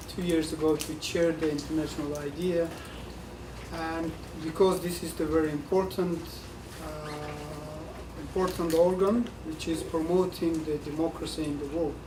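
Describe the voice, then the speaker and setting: Flat and monotone, the speech moves at a moderate pace with long, frequent pauses, audible room echo and noticeable background noise. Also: man. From Mongolia, countryside. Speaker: diplomat. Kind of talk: panel speech.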